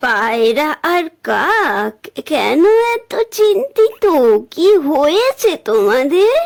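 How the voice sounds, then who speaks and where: A woman puts on a cartoonish character voice at an extremely high pitch. She talks at a very slow pace with very wide pitch swings. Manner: gentle, caring.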